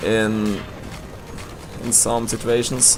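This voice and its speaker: Speaking at a fairly slow pace, a man with a slight Swiss German accent is heard over noticeable background noise. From Switzerland. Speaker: gaming commentator. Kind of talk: gameplay commentary. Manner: halting.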